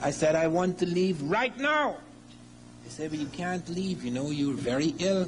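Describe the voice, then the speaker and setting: In audible room echo, a man speaks with ordinary pitch variation. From Africa. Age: 60s. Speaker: lecturer. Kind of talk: lecture.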